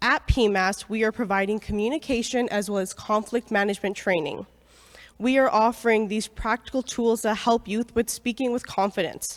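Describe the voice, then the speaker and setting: Speaking in an unremarkable speaking voice with a Canadian accent, a woman talks at a moderate pace and fairly high pitch with fairly even intonation, in a very clean recording with a silent background. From Airdrie, Alberta, Canada. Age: 20s. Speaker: youth program representative. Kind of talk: public presentation.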